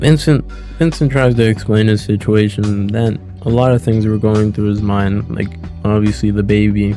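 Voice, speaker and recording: Music plays in the background as a man talks at a moderate pace. His pitch is fairly low, with ordinary variation. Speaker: gaming video essayist. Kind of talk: video essay narration, casual commentary. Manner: casual, joking.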